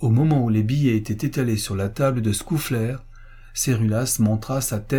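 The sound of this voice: An unforced reading voice is heard here.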